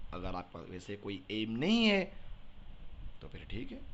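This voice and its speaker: A man with an animated tone. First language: Odia (speaking Hindi). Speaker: teacher. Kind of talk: lecture.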